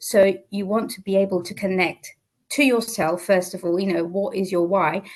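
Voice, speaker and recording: A woman at a medium pitch with a British accent, speaking at a moderate pace. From Portugal. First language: Portuguese. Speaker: business mentor. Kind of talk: interview.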